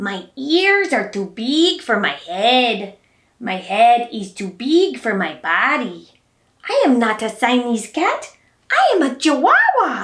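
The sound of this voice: Putting on a character voice with a Spanish accent, a woman speaks at a high pitch and a fairly slow pace.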